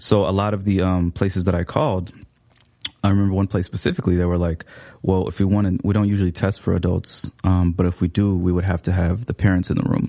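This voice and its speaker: A man with an American accent talks at a very fast pace in a very deep, low voice with a dark, mellow tone. His intonation is monotone and flat, and his loudness very even. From Seattle, US Pacific Northwest. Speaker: writer and photographer. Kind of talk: interview. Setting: studio. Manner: hesitant, many fillers.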